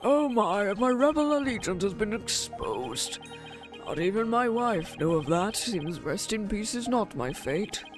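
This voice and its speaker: A hoarse, put-on character voice pitched fairly high speaks at a moderate pace over clear background music. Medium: game stream. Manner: formal, archaic.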